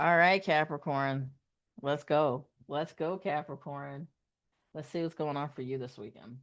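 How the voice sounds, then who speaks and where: With an American accent, a woman speaks at a very deep, low pitch and a fairly slow pace, with long, frequent pauses. Her loudness swings widely against a quiet background. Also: ordinary pitch variation. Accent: Southern US, occasionally slips out. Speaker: tarot reader. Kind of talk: live-streamed tarot reading. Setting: live stream. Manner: animated.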